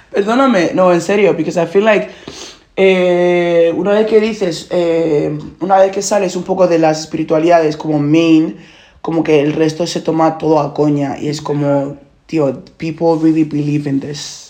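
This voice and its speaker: A woman speaks at a fairly slow pace in a fairly low voice with a dark, mellow tone. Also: ordinary pitch variation. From Nigeria. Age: 20s. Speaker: podcast host. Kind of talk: casual chat. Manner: code-switching Spanish and English.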